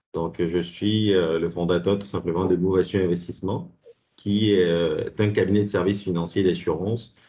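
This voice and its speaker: This man's very deep, low voice stays monotone, with flat intonation. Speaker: insurance advisor and college professor. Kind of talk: presentation. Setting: video call. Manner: fast.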